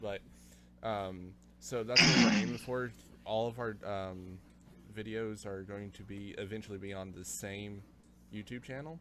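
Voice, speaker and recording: A man with an American accent speaks slowly, with long, frequent pauses, a fairly low pitch, ordinary pitch variation and big swings in loudness, amid audible room echo and noticeable background noise. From United States. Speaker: podcast host. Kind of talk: casual chat.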